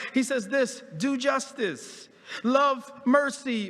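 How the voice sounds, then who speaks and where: An animated man speaks at an extremely high pitch with ordinary pitch variation. Noticeable background noise and audible room echo fill the recording. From US Northeast, Philadelphia. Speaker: pastor. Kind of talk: sermon. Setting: church. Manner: repetitive stammering restarts.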